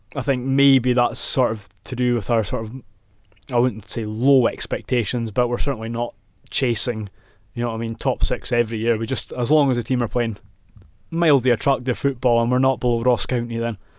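Fairly quick, monotone speech from a man with a Scottish Highlands accent and a medium pitch, on a very clean recording with a silent background. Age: 20s. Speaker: football fan pundit. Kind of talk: casual chat. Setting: studio.

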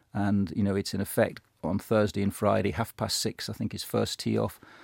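A man talks at a fairly low pitch with vocal fry. His intonation stays monotone and flat. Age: 50s. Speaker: golf club professional. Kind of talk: radio interview. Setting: studio.

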